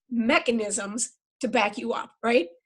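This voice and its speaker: A woman speaks in a fairly high pitch with lively intonation. Her voice is somewhat breathy. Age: 60s. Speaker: health educator. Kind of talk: casual chat.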